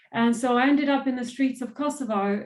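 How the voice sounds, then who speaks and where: This woman talks at a moderate pace in a somewhat breathy voice with fairly even intonation. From southern Serbia. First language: Serbian and Albanian. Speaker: trafficking survivor and motivational speaker. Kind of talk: interview testimony.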